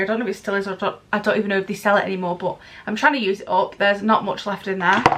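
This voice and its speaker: A woman talks at a very fast pace and a medium pitch. There is noticeable background noise. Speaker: beauty vlogger. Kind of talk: product review vlog. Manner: animated.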